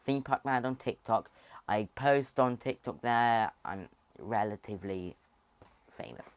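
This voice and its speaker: A man with a British accent and an animated tone talks at a fairly slow pace with long, frequent pauses and ordinary pitch variation, in a dry, close sound with no echo. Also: medium pitch for a man. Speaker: theme park YouTuber. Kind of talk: casual video commentary.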